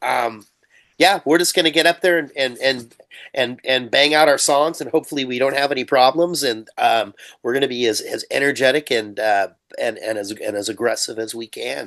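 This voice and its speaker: A man's fairly high-pitched voice, a plain, everyday voice, with ordinary pitch variation at a moderate pace. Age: 60s. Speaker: punk metal musician. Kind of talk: interview.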